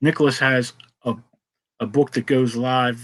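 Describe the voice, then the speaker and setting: A man with a Pittsburgh accent speaks at a medium pitch. His pace is fairly slow and his intonation fairly even. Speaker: comics talk show host. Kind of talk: casual chat.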